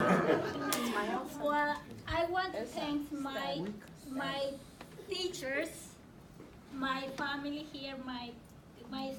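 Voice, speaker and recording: A woman with a non-native accent, high-pitched, with long, frequent pauses over noticeable background noise. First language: not English. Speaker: adult ESL student and program graduate. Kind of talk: impromptu graduation ceremony speech.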